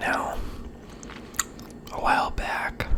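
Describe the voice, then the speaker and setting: Noticeable background noise is present throughout. Through it comes very slow whispering. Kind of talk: ASMR video talking to the camera about a movie collection. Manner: soft, casual, conversational.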